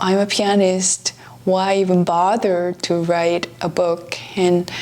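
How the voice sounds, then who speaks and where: Amid noticeable background noise, a woman with a Korean accent speaks at a very slow pace and a fairly low pitch. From South Korea. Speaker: pianist and author. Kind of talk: travel vlog narration.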